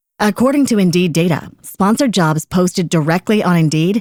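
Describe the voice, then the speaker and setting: A woman with an unremarkable speaking voice talks at a moderate pace, her fairly low pitch showing ordinary variation. The recording is very clean with a silent background and a dry, close sound with no echo. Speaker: ad announcer. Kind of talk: radio commercial read.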